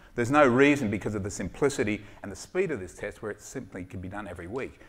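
The talking goes at a very fast pace. It comes with an Australian accent. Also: man. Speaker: sports doctor and startup founder. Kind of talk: startup pitch with Q&A. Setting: stage with audience. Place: stage. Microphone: headset.

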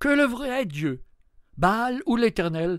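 A man speaks at a fairly slow pace in an animated tone, his pitch swinging very widely. The recording is very clean, with a silent background. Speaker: biblical storyteller. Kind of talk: biblical narration, dramatic monologue addressing the prophet Elijah as the angel. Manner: animated, urgent, coaxing and intimate, with tender irony; slow, expressive storytelling with vivid descriptions.

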